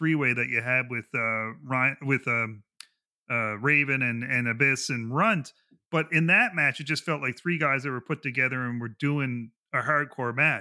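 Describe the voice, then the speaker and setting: A man with a normal speaking voice and a medium pitch talks at a moderate pace. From Canada. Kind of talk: casual chat.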